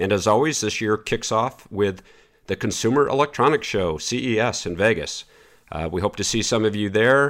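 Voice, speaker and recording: In a very clean recording with a silent background, a man speaks fairly quickly. His unremarkable speaking voice sits at a medium pitch. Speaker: podcast host. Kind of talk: casual interview.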